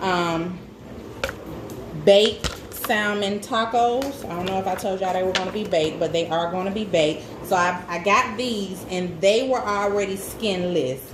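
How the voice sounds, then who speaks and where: At a moderate pace, a woman with a Southern US accent speaks at a medium pitch with ordinary pitch variation. Noticeable background noise and audible room echo fill the recording. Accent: Southern US, country. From US South, Birmingham, Alabama. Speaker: cooking vlogger. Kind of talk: cooking tutorial. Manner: casual, chatty.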